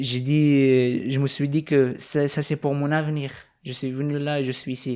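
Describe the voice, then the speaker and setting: Over a silent background in a very clean recording, a man talks fairly slowly in a fairly high pitch, his intonation flat and monotone and his tone dark and mellow. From Afghanistan. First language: not French, learned it as a teen (speaking French). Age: 20s. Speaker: young refugee. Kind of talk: interview. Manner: halting, many hesitations.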